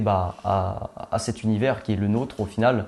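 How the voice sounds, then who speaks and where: A man speaks with a dark, mellow tone at a fairly low pitch. His intonation stays monotone and flat. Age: 20s. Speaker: young filmmaker. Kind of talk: interview. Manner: hesitant, many fillers.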